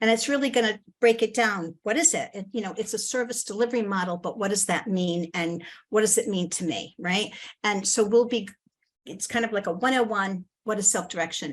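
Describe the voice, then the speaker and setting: In an ordinary speaking voice, a woman with a fairly high pitch talks at a fairly quick pace with ordinary pitch variation over a quiet background. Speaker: presenter at a community forum. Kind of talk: presentation. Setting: video call.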